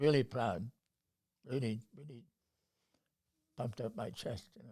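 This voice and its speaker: At a fairly slow pace, a man speaks in a medium-pitched, dark, mellow, somewhat breathy voice with ordinary pitch variation and big swings in loudness. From North Bay, Ontario, Canada. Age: 90s. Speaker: retired university professor. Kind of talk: interview answer.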